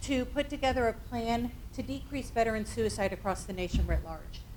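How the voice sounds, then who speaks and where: At a moderate pace, a woman talks with a slight Northeastern US accent. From US Northeast. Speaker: suicide prevention trainer. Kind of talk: workshop presentation. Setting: training room with audience.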